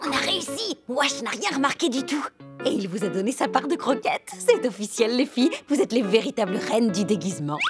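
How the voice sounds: With faint music behind her, a woman uses a cartoonish character voice, fairly high-pitched with a husky, rough edge and big pitch swings. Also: fairly quick pace, few pauses.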